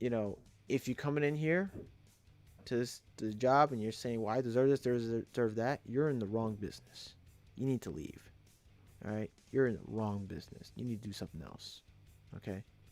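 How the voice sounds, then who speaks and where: Over music in the background, a man with a New York accent speaks at a fairly quick pace with medium pitch, ordinary pitch variation, and long, frequent pauses. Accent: New York street. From New York City (Brooklyn, Queens). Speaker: electrician, trade YouTuber. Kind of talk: live stream advice talk. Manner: repetitive, halting, emphatic.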